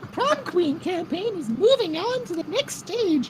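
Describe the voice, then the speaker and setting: A squeaky put-on character voice at an extremely high pitch makes very wide pitch swings. It moves at a moderate pace over clear background noise. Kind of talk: comic overacting. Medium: game stream. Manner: haughty, prim, coolly menacing.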